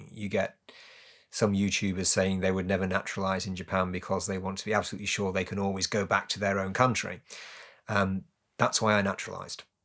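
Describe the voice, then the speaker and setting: Racing at a very fast pace, a man talks in a fairly low, flat monotone. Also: very clean recording, silent background. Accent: British. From UK. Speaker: naturalized citizen. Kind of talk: interview.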